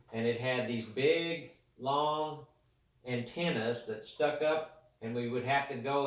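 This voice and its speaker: A man speaks at a fairly slow pace and a medium pitch, with ordinary pitch variation and audible room echo. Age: 60s. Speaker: grandparent interviewed by a child. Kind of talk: casual interview.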